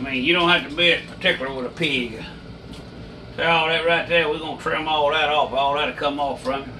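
With an Alabama accent, a man talks at a fairly quick pace in a fairly high pitch and fairly even intonation, with light background noise behind him. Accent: Southern US (Alabama). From US South, Alabama. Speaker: hunting and cooking video host; cooking video host. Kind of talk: casual tutorial. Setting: indoor kitchen. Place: kitchen. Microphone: camera far.

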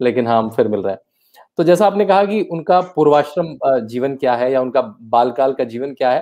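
A man's dark, mellow tone with lively intonation at a moderate pace, against a quiet background. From Uttarakhand, India (Rishikesh); Uttarakhand, India. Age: 40s. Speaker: author; guest. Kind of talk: interview. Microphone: earbuds.

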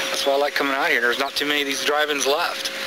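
A man speaks with noticeable background noise behind him. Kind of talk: interview answer. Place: open country.

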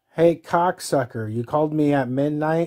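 A dark, mellow male voice comes through with little else to be heard behind it. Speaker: caller. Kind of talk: angry comedic rant to camera. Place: home room. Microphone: phone near.

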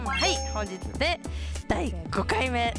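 Clear music plays behind a woman with a Fukuoka accent, her voice dry with no echo. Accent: Hakata dialect. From Hakata, Fukuoka. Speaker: pachislot writer. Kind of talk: casual play commentary to camera. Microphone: headset.

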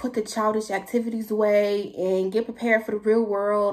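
The background is quiet as a woman talks at a moderate pace. Her pitch is fairly high. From San Francisco Bay Area, California. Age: young. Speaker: YouTuber. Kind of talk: casual Q&A vlog. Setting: talking to camera at home. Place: home room. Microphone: phone near.

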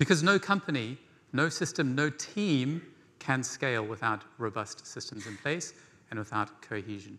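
A man with an English accent speaks in a bright, sharp tone, his loudness swinging widely and his pitch leaping through very wide swings. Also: moderate pace. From rural England. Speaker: conference speaker, no-code design educator. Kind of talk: conference talk. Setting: stage with audience. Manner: animated. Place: stage.

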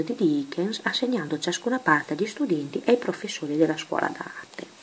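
Soft-spoken, a woman talks at a fairly quick pace and a fairly low pitch with lively intonation. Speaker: ASMR creator. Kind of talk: casual talk to camera.

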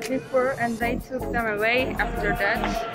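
Loud music plays in the background. Over it, a woman speaks at a very slow pace. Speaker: student vlogger. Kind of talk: casual vlog tour commentary. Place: tunnel cave. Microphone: phone near.

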